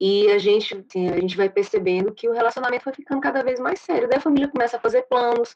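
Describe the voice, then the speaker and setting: A woman speaks very fast in a high voice, her intonation lively and her words running on with hardly any pauses. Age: 30s. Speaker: dance and physical education teacher. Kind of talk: testimony.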